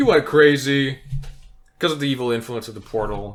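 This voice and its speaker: Behind noticeable background noise, a man speaks at a moderate pace and medium pitch. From outside English-speaking world (immigrant). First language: not English. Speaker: podcast co-host, tabletop game designer. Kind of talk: casual chat.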